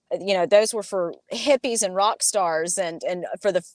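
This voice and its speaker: A woman speaks with a Southern US accent. Her pace is fairly quick. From US South, Alabama. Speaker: cannabis industry entrepreneur. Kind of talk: interview.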